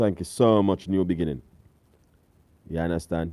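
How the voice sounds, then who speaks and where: In a Jamaican accent, a man talks with a dark, mellow, relaxed tone, the sound dry and close with no echo on a very clean recording with a silent background. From Jamaica, countryside. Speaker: cooking channel host. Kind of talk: live stream chat with viewers. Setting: live stream away from home. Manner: casual, relaxed.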